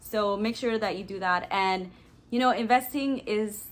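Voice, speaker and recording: A woman with a plain, everyday voice speaks at a fairly slow pace, using medium pitch and ordinary pitch variation. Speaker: lifestyle and personal finance vlogger. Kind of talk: tutorial. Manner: casual.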